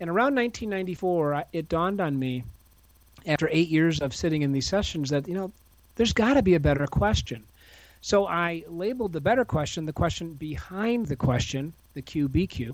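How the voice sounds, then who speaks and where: Against a silent background on a very clean recording, a man talks at a moderate pace in a high voice with lively intonation. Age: 50s. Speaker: author and speaker. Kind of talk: podcast interview.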